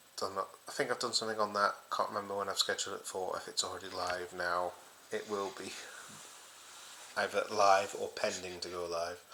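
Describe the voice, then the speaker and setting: A quiet man's voice at a fairly quick pace. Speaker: football fan channel host. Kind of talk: casual solo vlog. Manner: speaking quietly.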